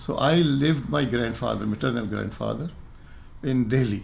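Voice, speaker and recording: A man speaks at a moderate pace with a medium pitch, lively intonation and vocal fry. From Pakistan, Quetta (Balochistan). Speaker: retired doctor interviewee. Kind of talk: interview, personal recollection. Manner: halting, with false starts.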